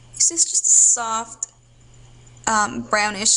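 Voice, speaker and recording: There is noticeable background noise in this clip. Through it, a woman's voice is heard. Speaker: beauty vlogger. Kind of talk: tutorial. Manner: casual, halting with fillers.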